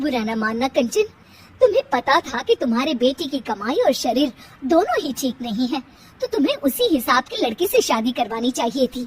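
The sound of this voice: A woman's put-on character voice, high in pitch with big swings and a husky, rough edge, at a moderate pace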